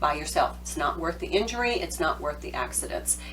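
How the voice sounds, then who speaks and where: Noticeable background noise fills the recording. A woman is the one speaking. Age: 50s. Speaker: home organizing advisor. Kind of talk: tutorial. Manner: casual, conversational.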